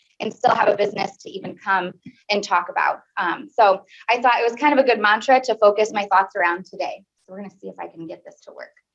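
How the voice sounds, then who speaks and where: A woman speaks at a very fast pace in a medium pitch, with a Midwestern American accent. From US Midwest, Peoria, Illinois. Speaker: small business owner and college teacher. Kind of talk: speech to a club meeting. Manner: animated.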